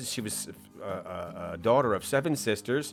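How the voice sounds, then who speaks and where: American-accented male speech at a medium tempo, backed by music. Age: 50s. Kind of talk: casual talk to camera. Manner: hesitant, rambling.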